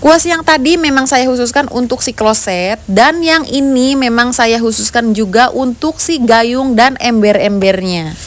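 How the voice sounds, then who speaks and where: A woman with a Sundanese accent, high pitch and lively intonation, at a fairly slow pace with hardly any pauses, over noticeable background noise. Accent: Sundanese-tinged Indonesian. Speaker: home cleaning vlogger. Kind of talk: casual vlog narration. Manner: chatty, friendly.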